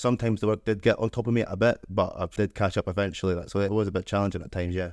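In a Scottish accent, a man with a fairly low pitch talks at a very fast pace in a monotone, flat intonation, recorded dry and close with no echo against a quiet background. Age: 20s. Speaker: electrical apprentice. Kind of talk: interview.

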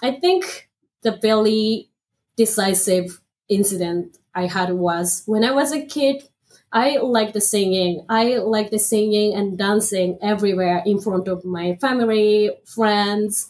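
A woman speaks with a Japanese accent at a fairly slow pace. Her pitch is fairly high, with ordinary pitch variation. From northern Japan, Aomori Prefecture. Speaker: MBA student, former automotive engineer. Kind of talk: interview. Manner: halting.

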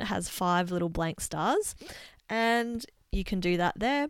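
With an Australian accent, a woman speaks at a medium pitch, her intonation lively. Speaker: podcast host, dietitian and yoga teacher. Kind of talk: casual interview chat; scripted podcast intro and outro. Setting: remote call.

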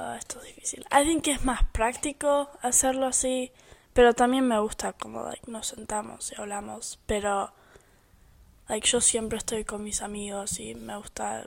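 Keeping her intonation fairly even, a woman talks at a fairly slow pace. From United States (born in Argentina). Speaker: podcast co-host. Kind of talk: casual chat.

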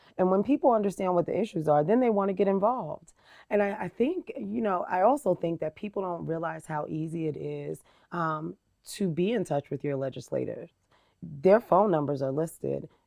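A woman with an American accent has an unremarkable speaking voice, fairly low in pitch, with lively intonation at a moderate pace. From New Jersey, Jersey City. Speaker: diversity and community engagement director. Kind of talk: interview. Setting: podcast.

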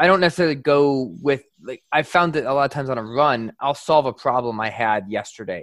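A man with a normal speaking voice and an American accent talks at a fairly quick pace with hardly any pauses, a fairly high pitch and ordinary pitch variation, in a very clean recording with a silent background. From upstate New York. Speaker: podcast co-host. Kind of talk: interview.

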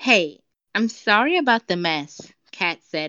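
Moderate in pace, a woman speaks. She has an American accent. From United States. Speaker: podcast guest reading own story. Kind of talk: reading aloud.

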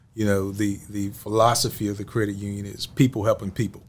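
Fairly low in pitch and somewhat breathy, a man talks at a fairly quick pace. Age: 40s. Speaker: podcast host. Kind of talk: interview.

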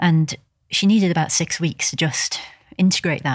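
Somewhat breathy, a woman speaks at a fairly low pitch. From England, seaside village. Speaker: energy healer and sports massage therapist. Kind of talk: casual interview. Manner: calm.

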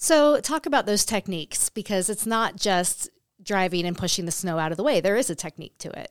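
On a very clean recording with a silent background, a woman with an American accent and a normal speaking voice talks at a fairly quick pace in a medium pitch with lively intonation. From California. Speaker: podcast co-host, county communications staff. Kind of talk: casual chat.

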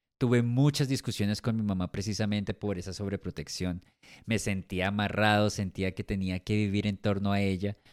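Over a very clean recording with a silent background and a dry, close sound with no echo, a man with an ordinary speaking voice talks at a fairly low pitch, with fairly even intonation and a moderate pace. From Colombia. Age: 40s. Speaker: podcast host. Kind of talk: personal testimony monologue.

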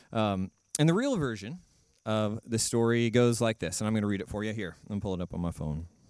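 Recorded with a dry, close sound and no echo, a man with a plain, everyday voice and a fairly low pitch talks at a fairly quick pace with ordinary pitch variation. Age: 30s. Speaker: substitute preacher. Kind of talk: sermon. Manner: casual with many filler ums.

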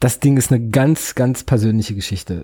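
This man's medium-pitched voice has a dark, mellow tone, is somewhat breathy, and shows ordinary pitch variation. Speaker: podcast host. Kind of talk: solo film review. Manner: hesitant, filler-heavy.

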